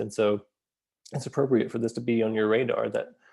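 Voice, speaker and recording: A man's dark, mellow voice at medium pitch, with fairly even intonation over a quiet background. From US South, Atlanta area. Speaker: school psychologist and educational consultant. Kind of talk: course introduction video.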